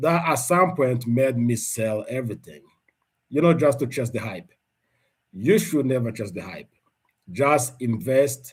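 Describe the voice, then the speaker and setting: Speaking with a non-native accent, a man uses a medium pitch and lively intonation at a moderate pace. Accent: non-native accent, self-noted. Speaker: investing YouTuber. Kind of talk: live stream update. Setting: livestream. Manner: halting, repeats words.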